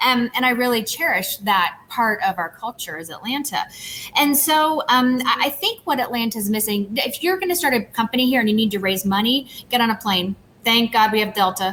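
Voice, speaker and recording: A woman with a Southern US accent speaks at a fairly quick pace in a fairly high pitch, her tone bright and sharp and her intonation lively. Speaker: tech company CEO. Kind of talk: panel interview. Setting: video call from empty office.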